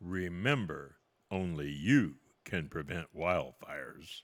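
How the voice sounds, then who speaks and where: Using a put-on character voice, a man talks at a fairly slow pace with a very deep, low pitch. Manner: audition take, public service announcement.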